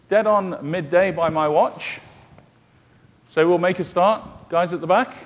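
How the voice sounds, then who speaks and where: Pausing long and often, a man with a high voice speaks at a fairly slow pace with fairly even intonation. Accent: British. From UK. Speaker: solution architect, conference presenter. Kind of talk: technical conference presentation. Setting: conference session room with audience. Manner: hesitant with frequent fillers.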